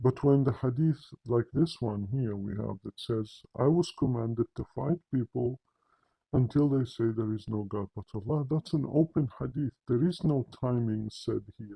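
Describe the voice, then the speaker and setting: Medium in pitch and somewhat breathy, a man with a non-native accent talks at a moderate pace with ordinary pitch variation. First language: not English. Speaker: religious commentator. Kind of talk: polemical monologue. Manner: animated.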